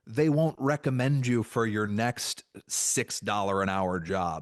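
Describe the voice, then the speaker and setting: A man in an animated tone with very wide pitch swings, dry, close sound with no echo and a quiet background. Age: 40s. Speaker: comedy writer and guest. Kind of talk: casual chat.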